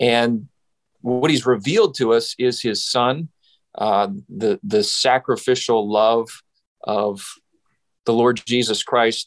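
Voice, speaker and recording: In a Western Canadian accent, a man at medium pitch talks very slowly with long, frequent pauses and very even loudness, the sound dry and close with no echo and the background quiet. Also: ordinary pitch variation. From Saskatchewan, Western Canada. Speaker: pastor. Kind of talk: interview.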